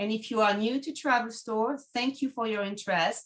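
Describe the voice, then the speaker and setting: Speaking with a French accent, a woman keeps a moderate pace at a fairly high pitch with ordinary variation. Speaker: travel agent, podcast host. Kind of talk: webinar presentation.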